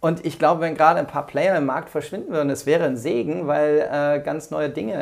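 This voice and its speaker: A man with a fairly high pitch speaks at a fairly quick pace, with vocal fry in his voice. He hardly pauses, and his pitch varies in an ordinary way. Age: 40s. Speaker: entrepreneur and management consultant. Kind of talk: casual interview. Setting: in person at host's home. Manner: hesitant with fillers.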